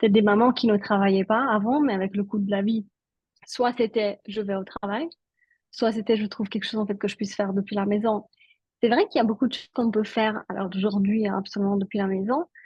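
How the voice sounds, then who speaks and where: A woman speaks at a fairly quick pace in a somewhat breathy, medium-pitched voice with fairly even intonation. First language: Italian (speaking French). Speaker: network marketing entrepreneur. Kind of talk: interview.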